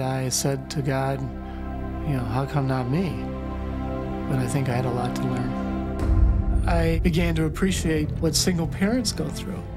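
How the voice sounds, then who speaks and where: Loud music plays in the background as a man speaks. His pace is very slow, with hardly any pauses. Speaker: marathon runner. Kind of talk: interview answer. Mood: reflective, earnest. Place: home room. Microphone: lapel.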